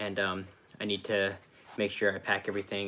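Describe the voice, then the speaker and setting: A man talks at a very fast pace with an American accent. His voice is quiet and fairly low in pitch. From Oklahoma / Kansas, US. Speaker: vanlife vlogger. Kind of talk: live stream Q&A. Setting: at parents' house, live stream. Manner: talking quietly.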